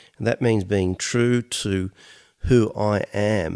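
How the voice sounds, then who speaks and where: The intonation of this man's voice is fairly even. His pitch is fairly low. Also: very clean recording, silent background. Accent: Australian. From Australia, Mediterranean family. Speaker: podcast co-host. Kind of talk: casual chat.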